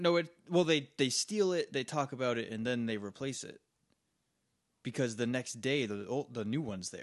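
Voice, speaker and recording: With an ordinary speaking voice at a medium pitch, a man talks at a moderate pace using lively intonation. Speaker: podcast co-host. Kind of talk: casual chat. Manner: laughs often.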